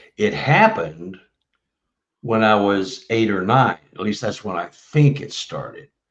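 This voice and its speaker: A man with a medium pitch talks at a fairly slow pace, with ordinary pitch variation and big swings in loudness. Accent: Texan. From Texas, Dallas. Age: 70s. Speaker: author and bigfoot researcher. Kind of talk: casual interview chat. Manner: halting, many fillers.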